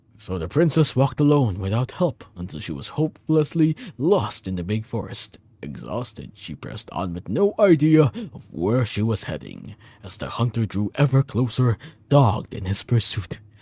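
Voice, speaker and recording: A man performs a put-on character voice at medium pitch. He keeps a moderate pace. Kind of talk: bedtime story reading. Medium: game stream. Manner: stumbling, self-correcting.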